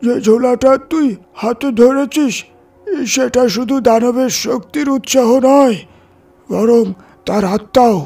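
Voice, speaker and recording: Over music in the background, a man uses a put-on character voice at an extremely high pitch and a fairly slow pace. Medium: read story. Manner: grave, solemn.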